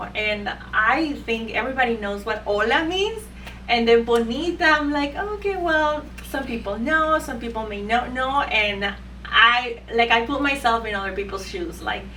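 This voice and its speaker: Noticeable background noise and audible room echo surround a woman with a Spanish accent. She speaks at a moderate pace in a high pitch with lively intonation. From Ecuador. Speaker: beauty spa owner. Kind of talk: interview. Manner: hesitant, many fillers.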